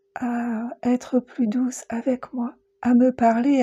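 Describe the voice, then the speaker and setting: In a dry, close recording with no echo, a woman speaks very slowly with a high pitch, a dark, mellow tone, a calm, soothing delivery and monotone, flat intonation. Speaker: guided meditation teacher and psycho-energy practitioner. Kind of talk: guided meditation podcast. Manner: calm, soothing, slow.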